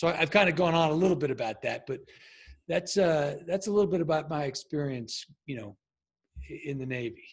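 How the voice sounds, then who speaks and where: On a very clean recording with a silent background, a man with an American accent speaks at a fairly quick pace, his fairly high voice somewhat breathy and his intonation lively. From Long Island, New York. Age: 50s. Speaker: former Navy SEAL and leadership coach. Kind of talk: podcast interview. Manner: halting.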